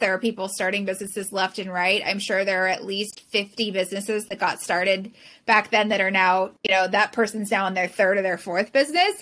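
A bright, sharp tone comes through in this voice with a Californian accent. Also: woman. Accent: Californian American. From Southern California. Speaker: professional organizer. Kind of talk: interview.

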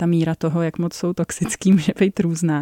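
Dry and close with no echo, a woman's voice sounds dark and mellow at a fairly low pitch. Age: 40s. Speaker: author of a parenting project and book. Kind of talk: radio interview.

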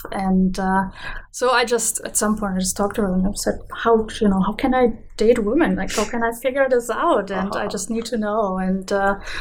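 A fairly quick pace in a German accent. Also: woman, fairly high pitch for a woman. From Germany. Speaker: biologist. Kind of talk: casual chat. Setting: studio.

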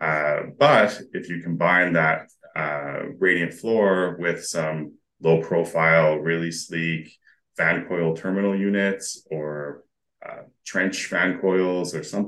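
This man speaks in a very deep, low voice with a Western Canadian accent. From Alberta, Canada. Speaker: mechanical engineer. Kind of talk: casual interview chat.

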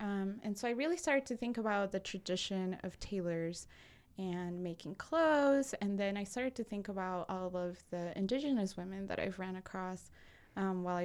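Recorded very cleanly against a silent background, a woman speaks at a moderate pace with a medium pitch and ordinary pitch variation. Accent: Spanish. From Peru, Lima. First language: Spanish. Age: 20s. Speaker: personal finance entrepreneur. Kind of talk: casual interview. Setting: studio.

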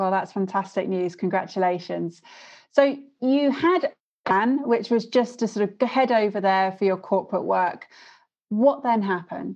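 At a moderate pace, a woman with a British accent talks at a medium pitch with ordinary pitch variation. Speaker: podcast host. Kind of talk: casual interview chat.

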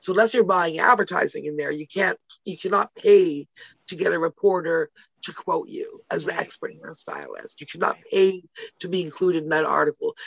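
A woman with a Canadian accent at a fairly quick pace, big swings in loudness, and a dry, close sound with no echo. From Canada (Toronto). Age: 50s. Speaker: publicist and entrepreneur. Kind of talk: casual interview. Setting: podcast interview.

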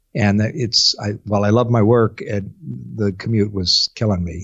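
Here is a man with a Midwestern American accent. His voice is somewhat breathy. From US Midwest, eastern Iowa. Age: 50s. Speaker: public relations specialist. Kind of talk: interview.

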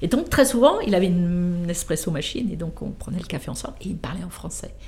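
A woman speaks at a fairly quick pace with lively intonation and vocal fry. Audible room echo surrounds her voice. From France, Versailles. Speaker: car designer. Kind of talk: interview. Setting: studio.

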